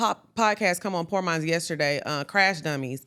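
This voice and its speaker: A woman speaks loudly on a very clean recording with a silent background. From Texas (small country town, Orange). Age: 30s. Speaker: podcast co-host. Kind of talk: casual interview chat.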